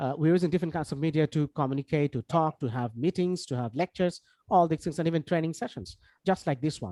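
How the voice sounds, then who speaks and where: With a Bangladeshi accent, a man speaks very fast at a fairly high pitch with ordinary pitch variation and a dark, mellow tone in a dry, close sound with no echo. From Bangladesh, Khulna. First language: Bengali. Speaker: English language trainer. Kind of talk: online lecture. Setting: video call. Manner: many fillers and self-corrections.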